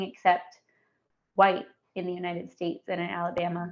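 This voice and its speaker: This is a woman speaking at medium pitch. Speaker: community outreach coordinator at health center. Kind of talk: podcast interview.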